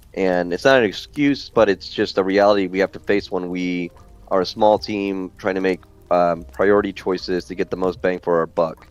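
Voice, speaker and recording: Against music in the background, a man with a very deep, low pitch speaks at a moderate pace with fairly even intonation. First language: not English. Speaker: game developer. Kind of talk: casual chat.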